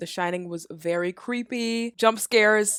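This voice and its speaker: A woman shouts in an animated tone at a medium pitch with ordinary pitch variation. The sound is dry and close, with no echo. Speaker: movie reaction youtuber. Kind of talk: casual reaction commentary. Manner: loud, yells into the mic.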